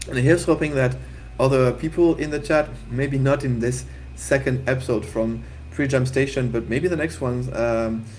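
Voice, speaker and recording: Moderately paced speech from a man with a French accent, at medium pitch with ordinary pitch variation, over noticeable background noise. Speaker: game jam livestream host. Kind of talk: casual livestream chat.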